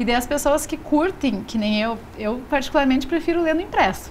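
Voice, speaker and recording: Her voice is high for a woman, and she speaks at a moderate pace. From Rio Grande do Sul, Brazil. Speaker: magazine publisher. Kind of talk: TV interview. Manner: casual, frequent fillers.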